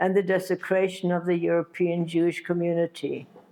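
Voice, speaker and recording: With a German accent, a woman speaks at a fairly low pitch in a dark, mellow tone with fairly even intonation, captured in a very clean recording with a silent background. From Germany, Berlin. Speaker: Holocaust survivor. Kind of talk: testimony. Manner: halting.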